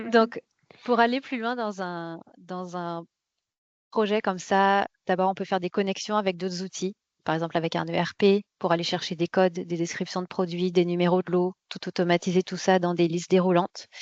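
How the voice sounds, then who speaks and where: Against a quiet background, a woman speaks at medium pitch and a moderate pace, with fairly even intonation and a dry, close sound with no echo. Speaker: quality management software consultant presenting a webinar. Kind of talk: webinar presentation. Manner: hesitant, many fillers and repetitions.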